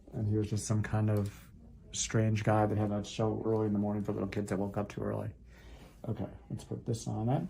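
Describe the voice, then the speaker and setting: A man's fairly low, dark and mellow voice, somewhat breathy, monotone and flat, at a very fast pace with long, frequent pauses. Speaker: foot doctor doing procedures on camera. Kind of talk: narrated medical procedure with patient chat. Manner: casual play-by-play narration; soothing.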